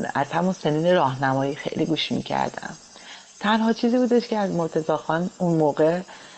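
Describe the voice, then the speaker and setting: Amid noticeable background noise, a woman speaks at a fairly quick pace and fairly low pitch, with lively intonation and very even loudness. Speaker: pianist. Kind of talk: interview.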